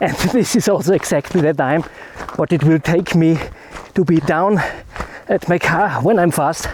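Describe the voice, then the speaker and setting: Against noticeable background noise, a man with a German accent talks at a moderate pace with long, frequent pauses, a high pitch, ordinary pitch variation and very even loudness. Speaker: landscape photography vlogger. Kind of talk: vlog outro. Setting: outdoors hiking down a mountain.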